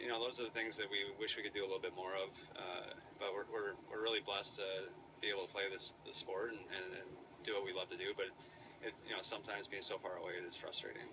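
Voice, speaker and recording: Noticeable background noise runs beneath the recording. A man speaks at a very fast pace. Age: older brother. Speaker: professional hockey goalie. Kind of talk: post-game interview answer.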